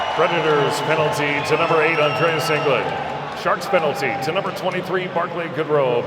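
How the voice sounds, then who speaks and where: A man with an American accent speaks at a high pitch and a moderate pace, with ordinary pitch variation, audible room echo and noticeable background noise. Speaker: PA announcer. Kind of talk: PA announcing at a hockey game. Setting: arena PA system. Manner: energetic, enunciated; polished, smooth.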